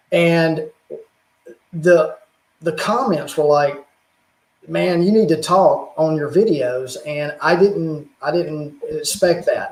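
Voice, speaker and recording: A man talks with a Southern US accent. His pitch sits high. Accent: Southern drawl. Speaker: YouTuber, religious and technology channel. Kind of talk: casual chat on livestream.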